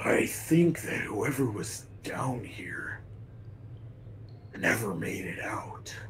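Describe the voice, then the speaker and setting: In a raspy, put-on character voice, a man speaks at medium pitch and a very slow pace with long, frequent pauses. Light background noise is present. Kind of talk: formal, stiff speech without contractions. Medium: machinima. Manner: calm, polite, measured.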